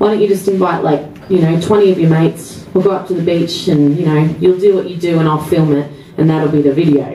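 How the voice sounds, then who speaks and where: Fairly low-pitched female voice at a fairly quick pace, fairly even intonation, audible room echo and light background noise. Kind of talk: stage banter between songs. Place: bar. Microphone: camera far.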